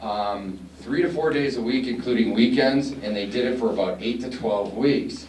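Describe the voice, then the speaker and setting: A man is recorded with audible room echo and noticeable background noise. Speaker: college staff presenter. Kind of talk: conference presentation. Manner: soft-spoken.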